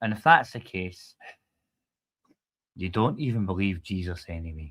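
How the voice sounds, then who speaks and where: A man with a Scottish accent and a very deep, low pitch talks at a moderate pace, with ordinary pitch variation and big swings in loudness. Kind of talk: casual chat.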